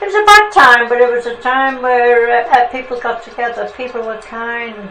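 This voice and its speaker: With music in the background and audible room echo, a woman talks at a moderate pace with a fairly high pitch and lively intonation. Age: 80s+. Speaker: oral history interviewee. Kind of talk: oral history interview.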